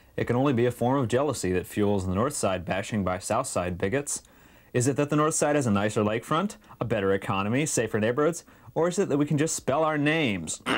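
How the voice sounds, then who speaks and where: Against a quiet background, a man speaks at a very fast pace with lively intonation. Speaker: public access show host. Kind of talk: comic reading of viewer mail. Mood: wry, amused. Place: home room. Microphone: lapel.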